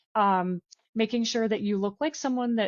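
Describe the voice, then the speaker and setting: A woman with a plain, everyday voice. She talks at a fairly quick pace with ordinary pitch variation. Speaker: recruiter. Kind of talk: webinar presentation.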